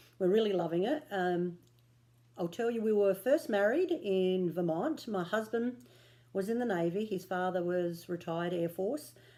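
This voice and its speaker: The speaker is a woman talking at a moderate pace. She has an Australian accent. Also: medium pitch for a woman, lively intonation. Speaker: cross stitch vlogger. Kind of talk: casual vlog chat. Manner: casual with frequent fillers.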